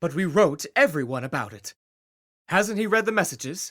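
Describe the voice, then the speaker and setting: A man puts on a character voice, high-pitched with very wide pitch swings. His loudness swings a lot, and his pace is moderate. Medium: read story. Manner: warm, brisk.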